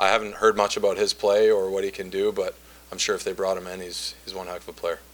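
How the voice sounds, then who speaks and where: At a fairly quick pace, a man speaks with fairly low pitch and ordinary pitch variation. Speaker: hockey player. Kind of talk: post-game interview. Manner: loud.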